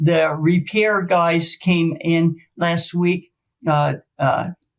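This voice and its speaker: A woman's fairly low, somewhat breathy voice. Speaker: former volleyball coach, stroke survivor. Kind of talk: interview. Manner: halting, effortful speech after stroke.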